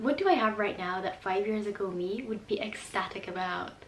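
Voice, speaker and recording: A woman speaks at a moderate pace with ordinary pitch variation, over noticeable background noise. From England, born in Hungary. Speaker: university student. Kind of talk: casual talk to camera.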